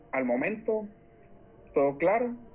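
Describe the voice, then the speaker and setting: With music in the background, a man speaks at a moderate pace. His intonation is lively. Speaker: law student tutor leading a class. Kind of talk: online class lecture. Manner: animated.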